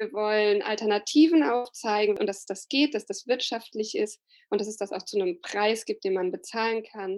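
Fairly high in pitch, a plain, everyday voice from a woman at a moderate pace. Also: ordinary pitch variation. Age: 30s. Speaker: flower gardener and slow flower advocate. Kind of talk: podcast interview.

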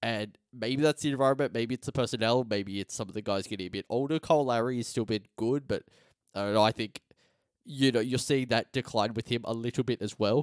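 Speaking very fast with an Australian accent, a man holds a medium pitch with ordinary pitch variation, the sound dry and close with no echo on a very clean recording with a silent background. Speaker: sports podcast host. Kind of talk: casual chat.

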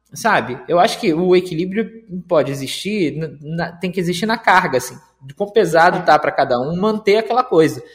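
With a lively, varied intonation, this man talks in a high voice and keeps to a moderate speed. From Rio de Janeiro, Brazil. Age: 30s. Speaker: podcast participant. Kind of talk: casual chat.

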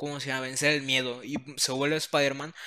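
A man talks with a Mexican accent in a bright, sharp tone. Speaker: podcast co-host. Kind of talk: casual chat.

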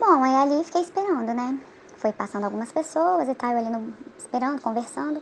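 A high-pitched woman's voice, lively in intonation and fairly quick, with noticeable background noise. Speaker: former church member. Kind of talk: testimony. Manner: halting.

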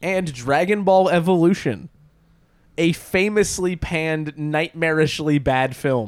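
A man talks at a fairly slow pace and a fairly high pitch with ordinary pitch variation. It is a plain, everyday voice. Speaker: podcast host. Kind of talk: casual chat. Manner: joking, sarcastic.

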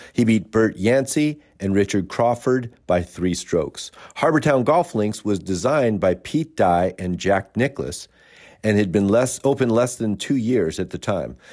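Heard on a very clean recording with a silent background, a man has an unremarkable speaking voice with lively intonation and fairly low pitch. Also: fairly slow pace. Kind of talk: almanac announcer narration, reading dated golf history facts. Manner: steady, even, formal, briskly factual.

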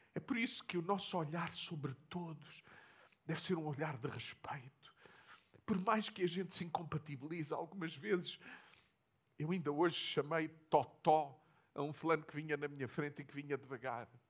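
The speaker has a European Portuguese accent. The loudness swings greatly. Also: man, fairly high pitch for a man, ordinary pitch variation, moderate pace. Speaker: pastor. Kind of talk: sermon.

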